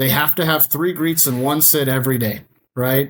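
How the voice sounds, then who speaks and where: Talking at a moderate pace, the man uses an ordinary speaking voice with ordinary pitch variation. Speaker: powersports dealership general manager. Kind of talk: podcast interview.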